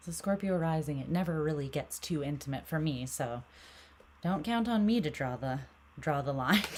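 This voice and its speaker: A soft-spoken woman's very deep, low voice. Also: lively intonation, moderate pace. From Canada. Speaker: tarot reader. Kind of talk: casual chat. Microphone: mic sensitivity turned up, heard as too quiet.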